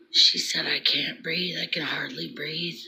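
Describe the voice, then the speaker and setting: Whispering at a fairly slow pace, a woman speaks against noticeable background noise. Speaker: vlogger sharing prophetic dreams. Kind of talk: casual vlog monologue. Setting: at home early morning. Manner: quiet, hushed; halting, many fillers.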